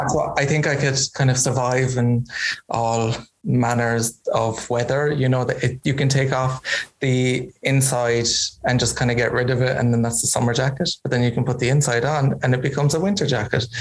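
A man with a Kerry accent talks at a moderate pace. His intonation is fairly even and his loudness very even. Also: medium pitch for a man. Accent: Kerry Irish. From Ireland, County Kerry. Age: 30s. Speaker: fashion designer. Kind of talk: interview. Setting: video call.

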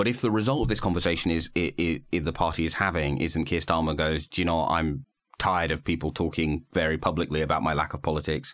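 With a British accent, a man talks at a very fast pace in a very deep, low pitch and very even loudness, captured on a very clean recording with a silent background. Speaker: political journalist and podcast host. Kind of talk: casual political discussion. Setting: studio.

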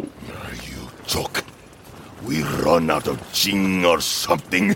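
Clear background noise sits behind a man's voice. He speaks at a very slow pace in a very deep, low pitch. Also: ordinary pitch variation. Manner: savage, threatening.

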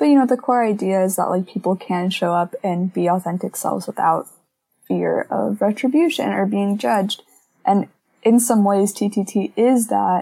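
In an American accent, a woman speaks at a moderate pace and medium pitch. Her tone is dark and mellow, with ordinary pitch variation. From Missouri, US. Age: young. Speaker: college student. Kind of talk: casual chat.

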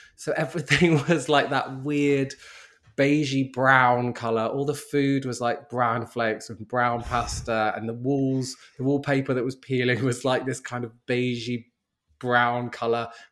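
Speaking at a fairly slow pace with a London accent, the man has a medium pitch and a monotone, flat intonation. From South London. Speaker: model and writer. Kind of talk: interview.

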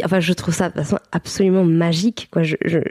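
A woman speaks at a moderate pace. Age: 30s. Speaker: mother and birth-support practitioner. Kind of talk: interview testimony. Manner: halting, many fillers.

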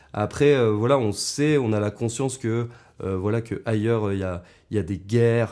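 At a fairly slow pace, a man talks at a fairly low pitch. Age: 20s. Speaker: podcast guest, friend of host. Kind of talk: casual interview chat. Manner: hesitant, many fillers.

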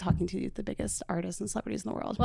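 A woman speaks in a fairly low pitch with vocal fry. The recording is very clean, with a silent background. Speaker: podcast host. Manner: fast talker; energetic, enthusiastic.

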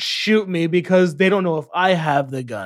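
Speech at a fairly slow pace, very cleanly recorded against a silent background. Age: 20s. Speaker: podcast host. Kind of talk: casual chat.

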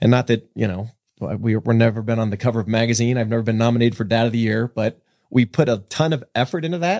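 Talking at a very fast pace, a man with an American accent speaks at a medium pitch. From US West (San Jose, California). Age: 50s. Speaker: film producer turned real estate developer. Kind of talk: casual interview chat.

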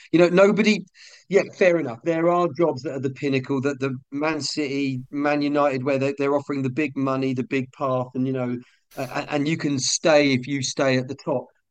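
A man with a plain, everyday voice and fairly high pitch speaks at a moderate pace with fairly even intonation. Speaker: comedian and football fan. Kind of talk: casual chat.

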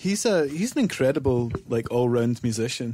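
A man with a Scottish accent speaks at a medium pitch in a dark, mellow tone. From Scotland, Whitburn. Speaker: musician in a band. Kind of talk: interview conversation.

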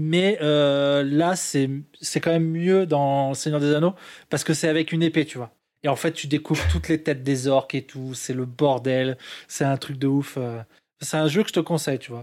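Here a man with a normal speaking voice talks at a fairly slow pace and a fairly high pitch. His intonation is fairly even, in a very clean recording with a silent background. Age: 30s. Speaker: gamer. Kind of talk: casual chat.

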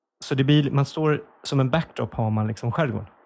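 A man, somewhat breathy, talks fairly quickly with fairly even intonation. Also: quiet background. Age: 40s. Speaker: comedy podcast host. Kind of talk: casual chat. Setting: small office.

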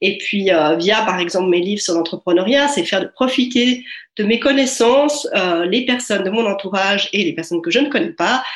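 A woman with a medium-pitched voice talks at a moderate pace with lively intonation. Noticeable background noise runs under her speech. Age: 40s. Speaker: author and life coach. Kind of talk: interview. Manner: hesitant, many filler sounds.

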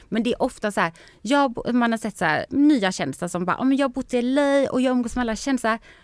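A woman's high-pitched, animated voice at a fairly quick pace, with ordinary pitch variation. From Sweden. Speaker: TV personality. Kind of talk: casual chat.

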